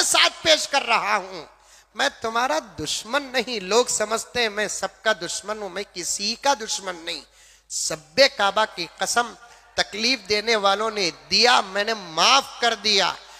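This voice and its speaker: A man with a high pitch speaks in a raised, projected voice. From Bangalore, India. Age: old. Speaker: Islamic preacher. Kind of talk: sermon.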